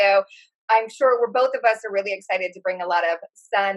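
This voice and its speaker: A woman speaks at a medium pitch with a Californian accent. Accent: California. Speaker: psychic, podcast co-host. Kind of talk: casual chat.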